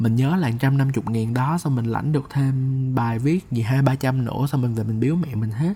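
Somewhat breathy and dark, mellow in tone, a man of medium pitch speaks at a moderate pace with ordinary pitch variation. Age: 20s. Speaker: podcast host and copywriter. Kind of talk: personal storytelling monologue.

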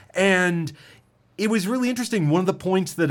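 On a very clean recording with a silent background, a man with a high pitch sounds animated and excited, his intonation lively. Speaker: radio DJ and podcast host. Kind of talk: casual chat. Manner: articulate, animated, gets excited.

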